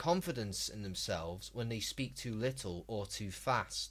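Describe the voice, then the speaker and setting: The recording is very clean, and the background is silent. A man talks at a fairly slow pace. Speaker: gaming streamer. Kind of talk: live stream chat and commentary. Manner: slow, unhurried delivery; calm.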